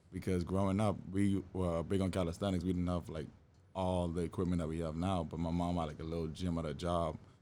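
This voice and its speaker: Here is a man with a very deep, low voice and a dark, mellow tone. He speaks in a Bahamian accent with monotone, flat intonation. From Bahamas, Nassau. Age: 20s. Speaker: fitness trainer. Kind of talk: podcast interview.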